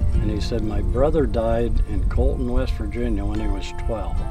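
Clear music plays in the background while a man talks at a moderate pace. The recording is dry, with no echo. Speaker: farmer. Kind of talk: interview answer. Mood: relaxed storytelling. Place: farm machine.

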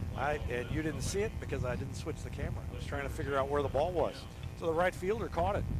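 Over noticeable background noise, a man talks at a very fast pace. His fairly high pitch makes very wide swings. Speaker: baseball play-by-play announcer. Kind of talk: live baseball play-by-play commentary. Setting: outdoors at a windy ballpark, broadcasting live.

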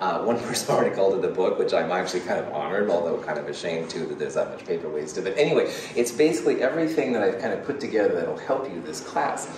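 Very fast speech with noticeable background noise and audible room echo. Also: man, hardly any pauses. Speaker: college chemistry instructor. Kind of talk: lecture. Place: classroom. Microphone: camera far.

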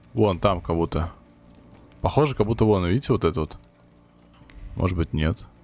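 A man with a very deep, low pitch speaks at a fairly quick pace with lively intonation. His loudness swings widely, and he takes long, frequent pauses. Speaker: gaming youtuber. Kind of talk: let's play commentary.

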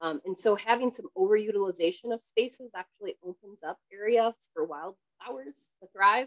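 With an ordinary speaking voice at a medium pitch, a woman talks at a moderate pace with lively intonation, big swings in loudness and hardly any pauses against a quiet background. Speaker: conservation biologist; presenter. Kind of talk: webinar presentation; Q&A answer. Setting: home office video call. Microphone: cutting out, too far from microphone; webcam.

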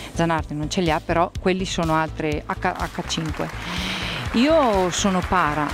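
A woman's dry voice with no echo, with clear music in the background. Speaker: interview guest. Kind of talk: interview answer. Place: studio. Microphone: handheld.

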